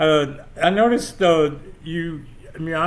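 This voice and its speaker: Audible room echo follows a man whose speech has ordinary pitch variation. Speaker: podcast host; military veteran. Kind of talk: casual interview chat. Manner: halting, repeats words.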